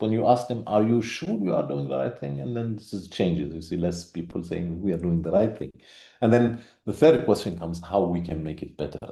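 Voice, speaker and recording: A man at a fairly quick pace, with a dark, mellow tone and vocal fry. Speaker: conference speaker on research. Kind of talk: conference presentation. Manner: halting, many fillers.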